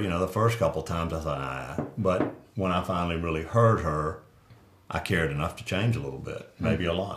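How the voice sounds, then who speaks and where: A man's very deep, low voice at a moderate pace, with ordinary pitch variation and audible room echo. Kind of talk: casual chat. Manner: loud.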